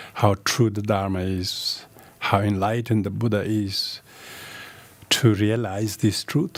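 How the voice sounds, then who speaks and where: With a Tibetan accent, a man speaks in a fairly low pitch at a fairly slow pace, using fairly even intonation and long, frequent pauses. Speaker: Buddhist teacher. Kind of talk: dharma teaching. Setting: video call. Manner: halting.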